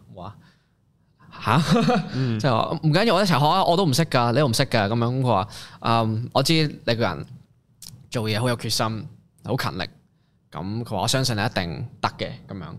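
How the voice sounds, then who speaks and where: At a moderate pace, a man talks in a plain, everyday voice of medium pitch with lively intonation. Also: very clean recording, silent background. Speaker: rapper and singer-songwriter. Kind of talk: casual interview chat.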